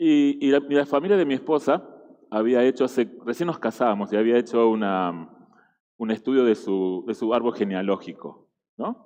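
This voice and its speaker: A man with an Argentine accent, medium pitch, a dark, mellow tone, lively intonation and a moderate pace. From Argentina. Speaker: guest preacher. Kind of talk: sermon. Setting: church. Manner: halting, with fillers and repetitions.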